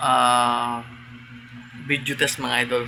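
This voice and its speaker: A man's medium-pitched voice comes through with noticeable background noise behind it. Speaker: tattoo artist vlogger. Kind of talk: casual vlog. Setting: indoors at home, mini shop. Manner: quiet.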